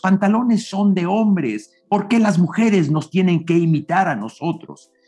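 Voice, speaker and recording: This dark, mellow voice moves at a fairly slow pace with lively intonation. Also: man. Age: 60s. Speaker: public speaking coach. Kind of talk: interview.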